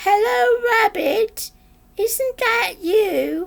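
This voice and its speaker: Squeaky and extremely high-pitched, a woman's put-on character voice fills the clip. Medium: read story. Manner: cheerful, simple.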